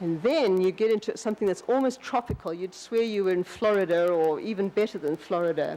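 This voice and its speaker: Speaking fairly quickly with hardly any pauses, a woman with a South African accent uses a dark, mellow, medium-pitched voice with ordinary pitch variation. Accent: South African accent, noticeable. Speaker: landscape designer. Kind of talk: lecture. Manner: halting, many restarts.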